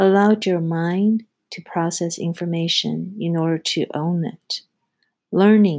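A woman speaks very slowly with fairly even intonation. The sound is dry and close, without any echo. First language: not English. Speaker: podcast host, project execution specialist. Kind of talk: scripted solo monologue, self-help advice.

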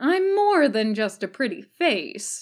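A woman puts on a character voice, high-pitched and drawling, with very wide pitch swings at a fairly slow pace, on a very clean recording with a silent background. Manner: flat, drawling, dry.

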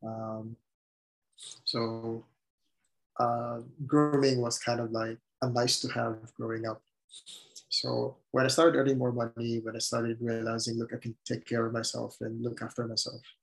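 A man with a Filipino accent at a medium pitch and moderate pace, monotone, flat intonation and long, frequent pauses. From Philippines. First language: Tagalog. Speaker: podcast guest sharing coming-out story. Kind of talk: casual interview, personal testimony. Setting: remote call.

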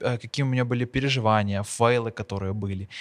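A man with a plain, everyday voice speaks at a moderate pace, medium in pitch with ordinary variation. The sound is dry and close, with no echo. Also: very clean recording, silent background. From Ukraine, Bila Tserkva. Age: young. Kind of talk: casual interview chat.

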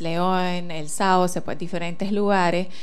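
Audible room echo surrounds a woman who talks at a very slow pace with medium pitch and fairly even intonation. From Switzerland. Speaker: nonprofit founder. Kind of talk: interview.

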